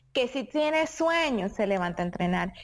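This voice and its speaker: Lively intonation and a moderate pace from a woman with a normal speaking voice. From Venezuela. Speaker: champion sport shooter. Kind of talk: interview.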